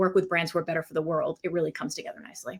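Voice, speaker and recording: This woman has an American accent and a medium-pitched voice. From Maine, US. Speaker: packaging design agency founder. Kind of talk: interview. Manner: fast.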